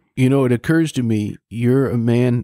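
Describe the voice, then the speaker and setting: This man's tone is dark and mellow. He speaks at a fairly slow pace. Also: dry, close sound with no echo. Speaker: interview show host. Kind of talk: interview.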